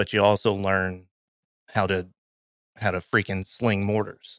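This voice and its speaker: Dry and close with no echo, the recording has a man with an American accent speaking at a fairly low pitch and a fairly slow pace. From Kentucky. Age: 30s. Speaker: army veteran and graphic designer. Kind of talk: casual interview, storytelling.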